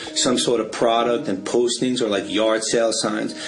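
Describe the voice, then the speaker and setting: Noticeable background noise and audible room echo surround a man with a New York accent, who speaks at medium pitch and a moderate pace. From New York City. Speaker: street artist. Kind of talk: interview. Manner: casual, conversational.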